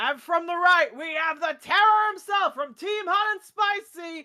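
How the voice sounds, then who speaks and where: In a put-on character voice, a woman speaks at a moderate pace with an extremely high pitch, her voice raised and projected. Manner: booming, showman-like.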